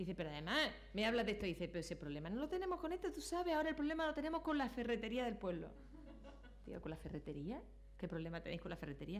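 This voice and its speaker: Talking very fast with an Andalusian accent, a woman uses a fairly high pitch, very wide pitch swings and an animated tone, with audible room echo and noticeable background noise. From Granada, Andalusia, Spain. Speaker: public procurement regulator, conference speaker. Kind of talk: conference talk. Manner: animated storytelling.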